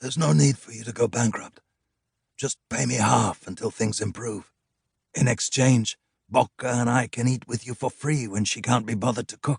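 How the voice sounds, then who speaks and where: A man's hoarse, put-on character voice at medium pitch, moderate pace, with big swings in loudness. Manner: kind, reasonable.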